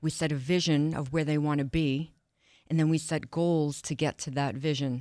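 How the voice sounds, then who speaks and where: A woman with an American accent, very deep and low in pitch, at a moderate pace in a monotone, flat delivery, on a very clean recording with a silent background. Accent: Boston-like New York. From Long Island, New York. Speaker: wellness coach. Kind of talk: casual interview chat.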